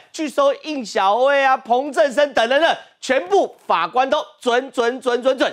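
A man's high-pitched voice at a fairly slow pace against a quiet background. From Taiwan. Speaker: TV talk show host. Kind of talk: TV political talk show discussion. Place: studio. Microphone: lapel.

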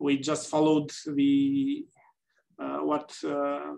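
Over a quiet background, a man speaks with a Romanian accent. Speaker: gynaecologic oncologist and politician. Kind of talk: panel discussion. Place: office. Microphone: webcam.

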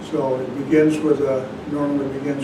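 A man talks at a very slow pace. Loud background noise fills the recording. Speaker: zen teacher. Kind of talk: dharma talk. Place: hall.

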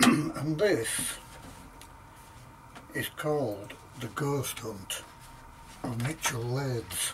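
The man talks very slowly with long, frequent pauses at medium pitch. His pitch varies in an ordinary way over noticeable background noise. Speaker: author reading his own book. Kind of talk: casual introduction to listeners. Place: garage. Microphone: camera far.

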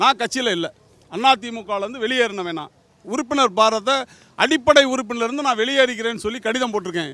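A man speaks in a raised, projected voice at an extremely high pitch, with ordinary pitch variation and a bright, sharp tone. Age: 60s. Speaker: party supporter. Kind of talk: interview.

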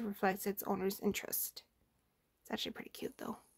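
Against a quiet background, a woman mumbles with a fairly high pitch. She goes at a very fast pace. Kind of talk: reading a game story aloud. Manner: mumbling. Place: home room. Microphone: phone near.

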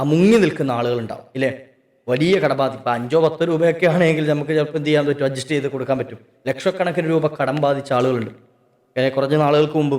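The man's pitch is fairly high, and he has an ordinary speaking voice with ordinary pitch variation. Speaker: Islamic preacher. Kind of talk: religious talk.

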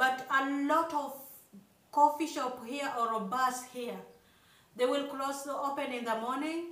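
With long, frequent pauses, a woman speaks at a high pitch and fairly even intonation in a room with audible echo. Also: fairly slow pace. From Kenya, rural village. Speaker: YouTuber, couple vlogger. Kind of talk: casual chat. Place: home room. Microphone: phone near.

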